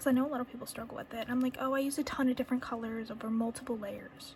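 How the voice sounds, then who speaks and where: Over noticeable background noise, a woman with a high-pitched voice speaks with fairly even intonation. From New England. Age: 20s. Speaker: reborn doll artist. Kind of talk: casual talk to camera while painting. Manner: chatty, rambling.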